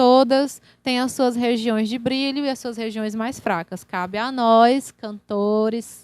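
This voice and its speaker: A woman talks at a very slow pace with hardly any pauses, in a fairly high pitch with fairly even intonation. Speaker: singer-songwriter and vocal workshop teacher. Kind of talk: online workshop lecture. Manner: casual, conversational with fillers.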